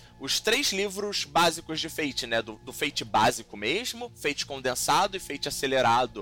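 Over noticeable background noise, a man with a fairly high pitch talks at a moderate pace with hardly any pauses and very wide pitch swings. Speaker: podcast host and game designer. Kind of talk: casual chat.

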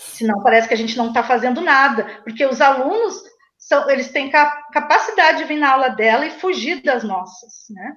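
A woman speaks in a high pitch at a moderate pace. Her intonation is lively. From Brazil, Rio Grande do Sul. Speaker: teacher and activist. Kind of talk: interview.

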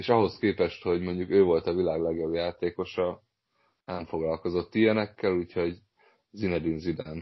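A very deep, low male voice at a moderate pace. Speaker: football podcast host. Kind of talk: casual chat.

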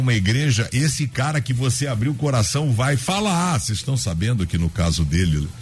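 Speaking at a moderate pace and a medium pitch, a man has a plain, everyday voice. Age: 50s. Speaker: pastor. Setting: radio studio.

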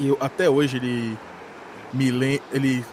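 Noticeable background noise surrounds the recording. A man talks at a fairly high pitch. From São Paulo, Brazil. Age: 20s. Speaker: podcast host. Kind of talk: casual storytelling monologue.

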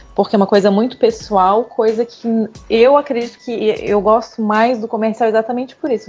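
A woman's fairly high-pitched voice against noticeable background noise. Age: 30s. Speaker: industrial designer. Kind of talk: casual chat.

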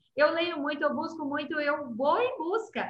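The voice has a bright, sharp tone and sounds animated. It moves at a moderate pace. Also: woman. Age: 50s. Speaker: entrepreneur and live show host. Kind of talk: live interview.

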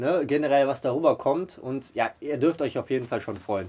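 A man using a plain, everyday voice speaks at a fairly high pitch and a moderate pace. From Germany, Mönchengladbach. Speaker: podcast host. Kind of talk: casual interview. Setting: band rehearsal room.

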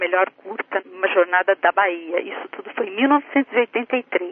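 A woman's plain, everyday voice, fairly slow in pace and with ordinary pitch variation. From interior of São Paulo state, Brazil. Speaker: writer and translator. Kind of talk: radio interview.

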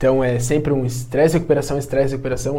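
A man speaks very fast in a somewhat breathy voice with a dark, mellow tone, and room echo can be heard. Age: 20s. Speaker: physical education teacher and personal trainer. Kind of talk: casual podcast interview, streamed live.

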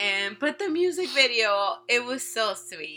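On a very clean recording with a silent background, a woman sounds animated, her tone bright and sharp. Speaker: K-pop podcast co-host. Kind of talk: casual chat. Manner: animated, frequent laughter.

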